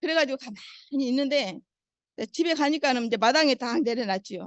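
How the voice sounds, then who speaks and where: High-pitched, fairly quick speech from a woman, with ordinary pitch variation. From Suncheon, South Jeolla, Korea. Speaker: Parkinson's patient. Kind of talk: testimony.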